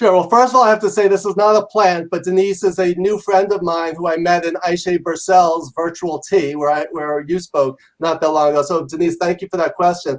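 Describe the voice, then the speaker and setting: A man with an American accent speaks loudly at a high pitch and fairly quick pace. He has hardly any pauses and ordinary pitch variation. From New York. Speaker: leadership professor and author. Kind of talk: interview. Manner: fast.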